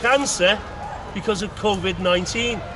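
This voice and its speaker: With a Liverpool accent, a man uses a raised, projected voice at a high pitch and a moderate pace, with ordinary pitch variation, audible room echo, and noticeable background noise. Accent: Scouse (Liverpool). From Liverpool, England. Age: 60s. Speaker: street speaker. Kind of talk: public speech. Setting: outdoors in a park with crowd. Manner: animated.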